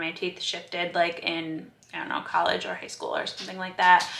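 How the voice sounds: Against audible room echo, a woman speaks in a bright, sharp tone.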